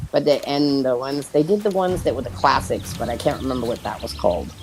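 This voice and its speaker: Very fast speech over noticeable background noise. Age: 50s. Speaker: streamer playing a video game with friends. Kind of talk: casual chat while gaming. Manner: rambling, conversational storytelling.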